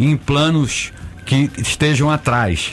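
The speaker uses ordinary pitch variation over noticeable background noise. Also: man. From Rio de Janeiro, Brazil. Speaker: photographer. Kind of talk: radio interview.

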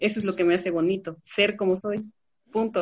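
In an unremarkable speaking voice, a woman talks at a fairly quick pace with fairly even intonation, the sound dry and close with no echo. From Veracruz, Mexico. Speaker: LGBT youth activist. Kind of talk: panel discussion.

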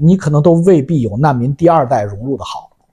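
A dark, mellow tone at a fairly quick pace, on a very clean recording with a silent background. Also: man. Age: 50s. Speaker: YouTuber answering viewer questions. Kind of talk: casual monologue commentary.

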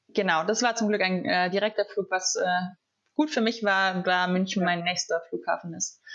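A woman talks in a plain, everyday voice at a moderate pace. Her loudness stays very even, and her pitch varies in an ordinary way. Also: medium pitch for a woman. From southern Germany. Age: 20s. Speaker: former exchange student. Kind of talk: casual chat.

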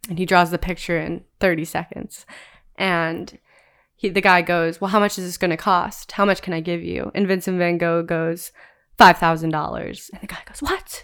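Speech in an American accent comes through a very clean recording with a silent background. The intonation is monotone and flat, yet the loudness swings widely. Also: woman, moderate pace. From Cleveland, Ohio, US Midwest. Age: 20s. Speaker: freelance videographer. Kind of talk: casual podcast interview.

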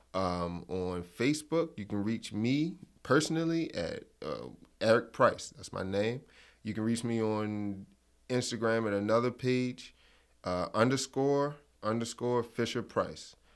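A man with an American accent and a plain, everyday voice speaks at medium pitch and a fairly slow pace with lively intonation, in a very clean recording with a silent background. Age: 20s. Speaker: fishing instructor and business owner. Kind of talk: interview. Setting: studio.

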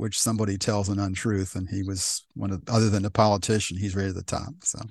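Against a quiet background, a man with an American accent talks at a very fast pace, his fairly low voice held to fairly even intonation. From Pennsylvania, US. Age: 70s. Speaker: retired TV repairman and ham radio operator. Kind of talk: casual interview conversation. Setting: video call.

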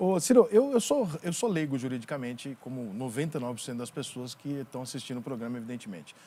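A man with a medium-pitched voice talks fairly quickly with lively intonation and hardly any pauses. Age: 40s. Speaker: podcast host, journalist. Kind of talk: interview. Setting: studio.

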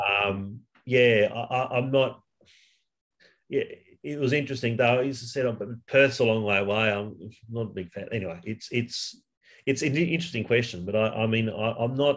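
Speaking at a moderate pace with an Australian accent, a man with a medium pitch uses ordinary pitch variation and leaves long, frequent pauses. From Western Sydney, Australia. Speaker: high school English teacher, football fan. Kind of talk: casual interview. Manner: halting, many fillers.

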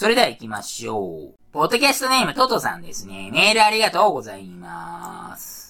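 At a fairly quick pace with hardly any pauses, a man talks through noticeable background noise, his loudness swinging widely. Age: 40s. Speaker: podcast host. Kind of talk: casual solo podcast talk. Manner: casual, rambling, filler-heavy.

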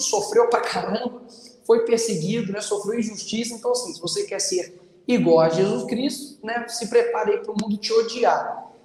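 A man's extremely high-pitched voice, moderate in pace with ordinary pitch variation, over noticeable background noise. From Brazil, Belo Horizonte (Minas Gerais). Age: 20s. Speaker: political candidate and online content creator. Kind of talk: casual chat.

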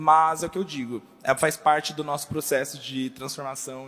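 A man with an ordinary speaking voice talks in a fairly high pitch at a fairly quick pace, with ordinary pitch variation. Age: 20s. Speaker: church communications staff. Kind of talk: panel discussion. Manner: casual slangy.

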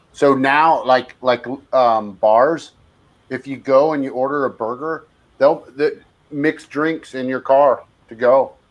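Very slowly, a man talks at a fairly high pitch with fairly even intonation. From San Francisco Bay Area. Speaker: brewery ambassador. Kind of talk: casual interview chat.

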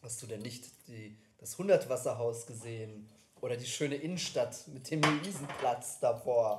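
A man with a medium pitch talks over noticeable background noise. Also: ordinary pitch variation, moderate pace, big swings in loudness. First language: English (speaking German). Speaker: podcast co-host. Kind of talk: casual chat.

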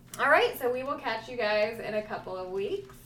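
A woman's lively intonation amid audible room echo and noticeable background noise. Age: 30s. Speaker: podcast co-host. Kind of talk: casual chat. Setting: recording the intro alone.

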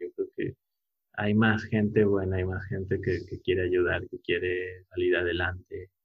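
A man speaks at a very deep, low pitch. His pace is fairly slow and his intonation monotone and flat. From Mexico, Puebla. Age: 30s. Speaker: architect. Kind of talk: interview. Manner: halting, with many repeated words.

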